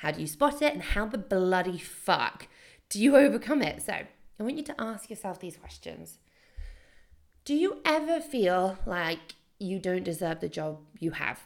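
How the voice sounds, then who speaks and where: A woman talks at a fairly slow pace with a medium pitch and very wide pitch swings. Her voice has vocal fry. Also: big swings in loudness. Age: 20s. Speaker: podcast host and entrepreneur. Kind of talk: solo podcast monologue. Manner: casual, laughing at times.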